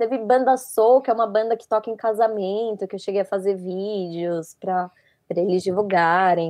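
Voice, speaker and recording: A woman with a fairly high pitch and ordinary pitch variation speaks over a quiet background. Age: 20s. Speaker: audiovisual production student and photographer. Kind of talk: casual interview chat.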